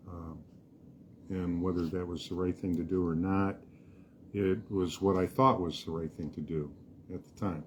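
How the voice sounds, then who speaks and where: A man with an American accent and a very deep, low pitch speaks at a moderate pace. His intonation is fairly even, with long, frequent pauses. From US, raised on military bases. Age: 70s. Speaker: podcast co-host. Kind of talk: casual discussion.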